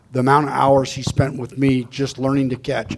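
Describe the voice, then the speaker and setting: Over noticeable background noise, a man with an American accent speaks very fast at medium pitch. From Arizona (Tucson). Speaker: former college baseball player. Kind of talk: panel discussion. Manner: halting, many repeated words.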